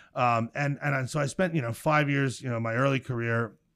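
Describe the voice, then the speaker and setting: In an American accent, a man speaks fairly quickly at a medium pitch with ordinary pitch variation, on a very clean recording with a silent background. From central New Jersey, Middlesex County. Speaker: startup co-founder and CEO. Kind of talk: interview. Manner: halting, frequent repetitions and fillers.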